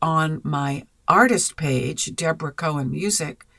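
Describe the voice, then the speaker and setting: This woman's voice sits at a very deep, low pitch. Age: 70s. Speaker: podcast host and singer-songwriter. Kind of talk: casual podcast monologue. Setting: live stream.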